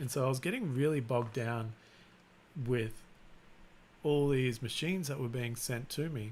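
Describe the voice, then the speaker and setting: Relaxed in tone, a man speaks at a medium pitch with long, frequent pauses. The room echo is audible. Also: moderate pace. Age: 40s. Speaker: YouTuber, 3D printing and maker channel host. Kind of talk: casual livestream chat. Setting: live stream. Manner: monotone; relaxed, unexcited.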